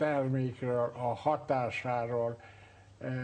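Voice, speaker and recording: A man in a monotone, flat intonation. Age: 70s. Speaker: retired doctor, obstetrician. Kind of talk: testimony. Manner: halting, many filler sounds.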